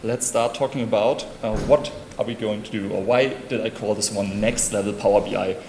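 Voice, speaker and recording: With a German accent, a man talks at a moderate pace and fairly even intonation, with audible room echo and noticeable background noise. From Germany, Hamburg. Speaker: conference speaker. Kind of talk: conference talk.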